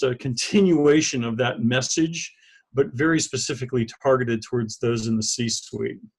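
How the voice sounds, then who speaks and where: A man with an American accent and a normal speaking voice, medium in pitch, with ordinary pitch variation and a moderate pace. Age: 60s. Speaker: author and business leadership consultant. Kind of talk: interview. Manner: casual, with frequent fillers and restarts.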